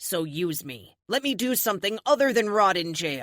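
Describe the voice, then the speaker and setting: At a moderate pace, a woman growls in a put-on character voice of medium pitch with very wide pitch swings. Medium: read story. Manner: snarling, blunt.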